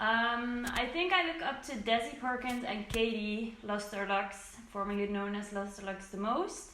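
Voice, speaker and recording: A woman speaks at a fairly slow pace with hardly any pauses, her fairly high voice carrying lively intonation over noticeable background noise. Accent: Dutch. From southern Netherlands. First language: Dutch. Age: 20s. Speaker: beauty vlogger. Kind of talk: casual Q&A vlog.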